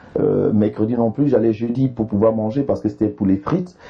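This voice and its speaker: A speaker in an Ivorian accent talks at a fairly quick pace with ordinary pitch variation. Music plays in the background. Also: man. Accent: Ivorian accent, kept. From Ivory Coast. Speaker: comedian. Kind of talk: interview.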